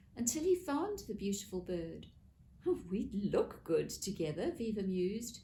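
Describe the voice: Straightforward out-loud reading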